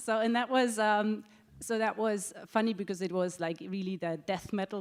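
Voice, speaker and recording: A woman speaks in a German accent at a medium pitch and moderate pace, with ordinary pitch variation. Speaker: travel technology executive. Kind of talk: panel discussion. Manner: halting, many fillers.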